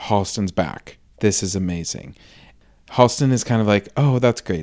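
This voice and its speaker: A normal speaking voice at a moderate pace with ordinary pitch variation comes through on a very clean recording with a silent background. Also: man. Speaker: podcast host. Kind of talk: casual chat, recapping a TV series.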